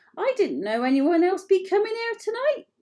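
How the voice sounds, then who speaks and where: In a put-on character voice, a woman squeaks at an extremely high pitch with very wide pitch swings, keeping a moderate pace. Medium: read story. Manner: nervous, muttering.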